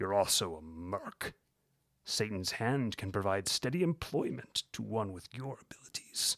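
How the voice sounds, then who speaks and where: At a moderate pace, a man uses a put-on character voice pitched fairly low, recorded very cleanly over a silent background. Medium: read story. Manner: cold, scornful.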